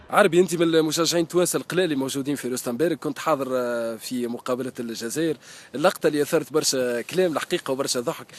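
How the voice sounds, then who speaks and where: A man at a fairly high pitch, very fast pace, ordinary pitch variation and hardly any pauses. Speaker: sports journalist. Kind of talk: interviewer questions.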